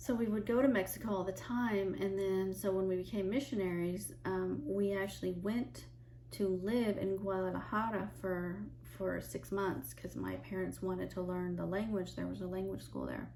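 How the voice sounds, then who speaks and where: A woman with an American accent speaks at a moderate pace. She leaves hardly any pauses. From United States. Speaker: chaplain and Bible teacher. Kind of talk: casual talk to camera, personal testimony. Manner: conversational, hesitant with filler words.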